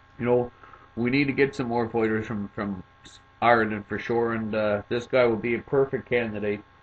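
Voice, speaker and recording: Against noticeable background noise, a man with a Cape Breton accent speaks in a monotone, flat way. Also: medium pitch for a man, moderate pace. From Cape Breton, Nova Scotia, Canada. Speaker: MMA commentator, video maker. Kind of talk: casual commentary, fighter rundown. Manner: hesitant, many fillers.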